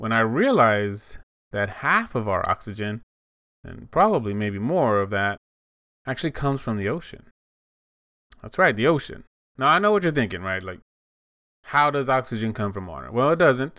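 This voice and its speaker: On a very clean recording with a silent background, a man uses a bright, sharp tone and lively intonation, leaving long, frequent pauses. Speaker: podcast host. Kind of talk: casual solo podcast monologue. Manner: rambling, conversational.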